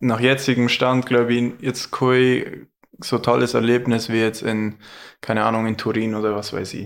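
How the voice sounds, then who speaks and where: Moderately paced, a man speaks at a medium pitch in a monotone, flat intonation. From Allgäu, Bad Hindelang area. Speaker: ski cross athlete. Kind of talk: casual chat.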